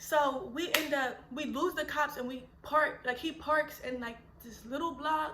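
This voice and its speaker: A woman's raised, projected voice, high-pitched and animated. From Philadelphia. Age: 20s. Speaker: mother and YouTuber. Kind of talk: casual story time to camera. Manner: animated, expressive.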